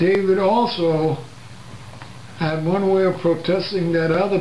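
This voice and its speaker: With an American accent, a man speaks at a fairly slow pace and a high pitch with fairly even intonation, amid audible room echo and noticeable background noise. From New Jersey, Plainfield. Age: 80s+. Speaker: civil rights veteran. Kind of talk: interview.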